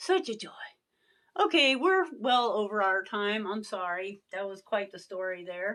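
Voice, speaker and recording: A woman's bright, sharp, animated tone at a fairly slow pace. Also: medium pitch for a woman, ordinary pitch variation, big swings in loudness, very clean recording, silent background. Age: 60s. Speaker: beauty vlogger. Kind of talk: casual chat.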